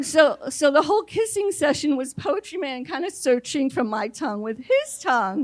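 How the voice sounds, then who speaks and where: A woman speaks with an American accent. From New York City. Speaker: storyteller. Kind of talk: live storytelling on stage. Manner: conversational, comedic.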